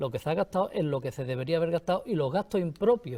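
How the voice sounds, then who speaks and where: A man's somewhat breathy voice with a dark, mellow tone comes through in a very clean recording with a silent background. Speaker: pensioner platform representative. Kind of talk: panel debate.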